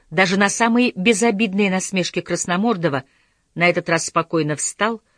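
In a natural reading voice with ordinary pitch variation, the speaker talks over a quiet background.

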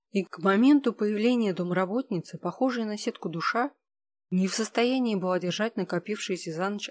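The reading voice is unforced, with ordinary pitch variation. It sits over a quiet background.

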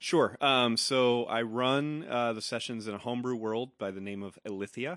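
A man uses a normal speaking voice at a moderate pace with ordinary pitch variation, in a dry, close sound with no echo against a quiet background. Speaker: tabletop game master. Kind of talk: casual chat.

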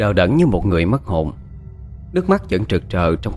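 A reading voice that sounds unforced

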